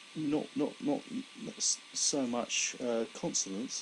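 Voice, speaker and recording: In a southern English accent, a man talks at a very slow pace with fairly even intonation. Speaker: stroke survivor. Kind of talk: personal testimony. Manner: slow, laboured speech; halting, with repetitions.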